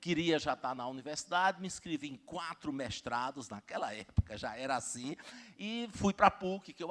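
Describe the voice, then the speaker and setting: With a dry, close sound and no echo, a man speaks at a moderate pace, showing big swings in loudness and very wide pitch swings. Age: 60s. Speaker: university rector and professor. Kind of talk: conference talk. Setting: stage with audience. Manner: halting, many fillers.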